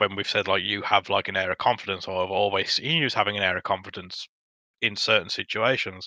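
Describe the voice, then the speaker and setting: Very fast speech from a man, bright and sharp in tone, with a dry, close sound, no echo and a quiet background. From Dudley, West Midlands, England. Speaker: podcast guest. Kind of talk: casual chat.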